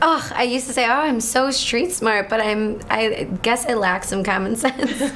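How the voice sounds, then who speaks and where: Amid noticeable background noise and audible room echo, a woman speaks with an American accent and a high pitch. Her loudness stays very even, with a moderate pace and ordinary pitch variation. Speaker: reality show contestant. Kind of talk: casual interview.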